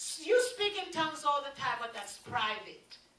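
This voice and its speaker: There is audible room echo around this voice. A woman speaks at a fairly slow pace. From Jamaica. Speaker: preacher. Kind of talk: sermon. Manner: animated. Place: meeting room.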